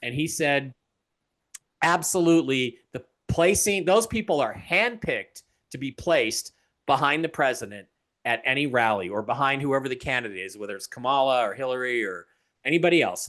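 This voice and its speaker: With lively intonation at a fairly quick pace, a man speaks in an ordinary speaking voice at a medium pitch. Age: 60s. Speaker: author and TV personality. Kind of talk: interview conversation.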